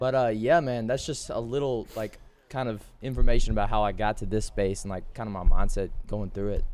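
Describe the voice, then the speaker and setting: Here a man talks with an American accent at medium pitch. His pace is fairly quick, with ordinary pitch variation. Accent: Texas accent, noticed by others. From Texas. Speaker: podcast co-host. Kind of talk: casual chat.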